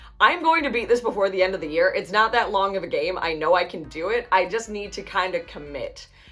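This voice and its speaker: Over music in the background, the speaker races along at a very fast pace with lively intonation and hardly any pauses. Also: woman, medium pitch for a woman. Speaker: gaming YouTuber. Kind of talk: casual vlog talk.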